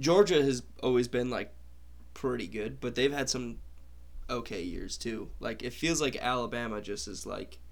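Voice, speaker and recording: Vocal fry colors speech delivered at a fairly slow pace with long, frequent pauses. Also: man. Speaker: podcast host. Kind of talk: casual sports chat.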